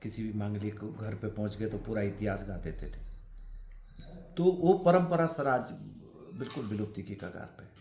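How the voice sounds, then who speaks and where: A man with a fairly low pitch and a dark, mellow, somewhat breathy tone makes very wide pitch swings at a moderate pace, with long, frequent pauses and audible room echo. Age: 60s. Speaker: folk art practitioner. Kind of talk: interview.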